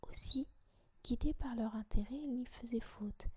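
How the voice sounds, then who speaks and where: The woman whispers at a fairly slow pace. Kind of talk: audiobook reading of a classic essay. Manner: whispered.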